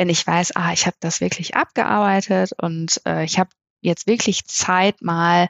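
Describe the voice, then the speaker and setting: A woman's fairly low voice moves fairly slowly, its pitch varying in an ordinary way. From northern Germany, Melle near Osnabrück. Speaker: family and wedding photographer. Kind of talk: casual chat. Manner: hesitant, many filler sounds.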